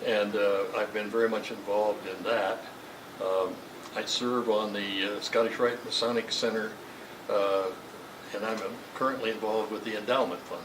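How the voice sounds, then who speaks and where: Amid noticeable background noise and audible room echo, a man speaks at a moderate pace with monotone, flat intonation. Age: 80s+. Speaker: Masonic lodge treasurer and longtime member. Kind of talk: interview. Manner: halting, many fillers and repeats.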